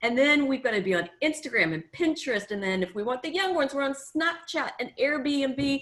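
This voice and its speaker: A high-pitched woman with an American accent at a fairly quick pace, hardly any pauses. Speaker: tourism marketing consultant. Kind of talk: workshop presentation. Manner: casual, many filler ums.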